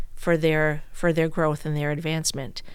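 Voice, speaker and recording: Monotone, flat speech with an American accent and audible room echo. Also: woman. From US Northeast, Brooklyn, New York. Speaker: bank executive. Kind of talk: casual interview. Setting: studio.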